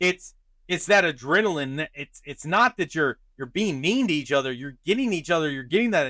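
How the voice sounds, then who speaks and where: Loud and at a moderate pace, a man speaks with lively intonation, a fairly high pitch and a bright, sharp tone, the sound dry and close with no echo. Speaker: podcast host. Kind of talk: casual chat.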